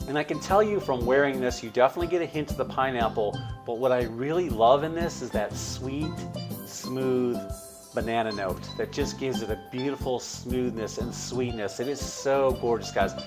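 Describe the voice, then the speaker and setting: At a moderate pace, a man talks while clear music plays in the background. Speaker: fragrance reviewer. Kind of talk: casual review vlog. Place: home room. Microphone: lapel.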